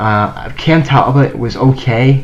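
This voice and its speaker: Mumbling at a medium pitch, a man speaks against noticeable background noise. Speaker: sports channel youtuber. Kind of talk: casual sports commentary monologue. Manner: halting, stuttering. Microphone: cheap low-quality microphone.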